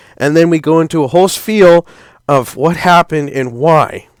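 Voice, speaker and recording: This man has a plain, everyday voice, pitched fairly high, with fairly even intonation and a dry, close sound with no echo. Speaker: youtuber discussing an animated series. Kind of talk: solo commentary video.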